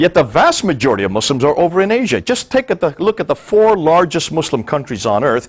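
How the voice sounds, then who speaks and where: With an American accent, a man speaks very fast with hardly any pauses, his fairly high voice showing vocal fry and very wide pitch swings. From India (American missionary school in the Himalayas). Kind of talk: talk to an audience.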